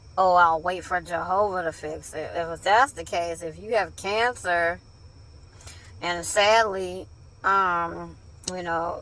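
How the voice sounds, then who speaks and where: Very slow with long, frequent pauses, a woman with a fairly low pitch and a bright, sharp tone speaks with fairly even intonation in a very clean recording with a silent background. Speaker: ex-Jehovah's Witness video blogger. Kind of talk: casual monologue. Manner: halting, many fillers.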